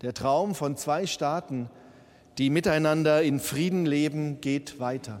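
A fairly slowly paced male voice with ordinary pitch variation. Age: 50s. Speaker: bishop. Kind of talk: sermon. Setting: church.

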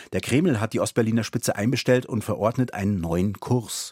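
In a plain, everyday voice, a man speaks at a moderate pace in a fairly low pitch with ordinary pitch variation, captured with a dry, close sound with no echo. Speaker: podcast host. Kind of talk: podcast narration, explanatory history chat. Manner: clear, measured, informative.

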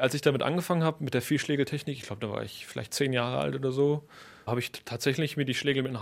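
Very fast and fairly high-pitched, a man speaks in a very clean recording with a silent background. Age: young. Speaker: percussionist. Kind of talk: interview.

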